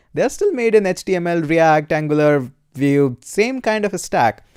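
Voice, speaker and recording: Moderate pace with an Indian accent. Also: man, dry, close sound with no echo. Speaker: programming YouTuber and course instructor. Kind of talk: live stream Q&A. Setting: live stream. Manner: casual, many filler uhs.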